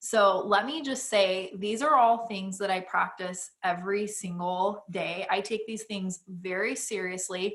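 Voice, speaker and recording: A woman with an unremarkable speaking voice talks in a medium pitch with ordinary pitch variation and hardly any pauses. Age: 30s. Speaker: podcast co-host. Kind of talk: casual chat.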